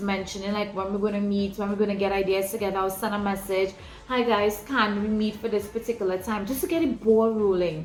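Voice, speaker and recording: Amid noticeable background noise and audible room echo, a woman speaks fairly quickly at a medium pitch with fairly even intonation. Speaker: ministry leader. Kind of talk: teaching talk.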